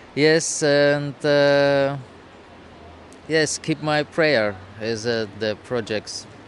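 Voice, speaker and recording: Speaking at a very slow pace with long, frequent pauses, a man talks at a fairly high pitch with ordinary pitch variation over noticeable background noise. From Russia. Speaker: nomad street musician and shaman. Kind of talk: interview. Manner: halting.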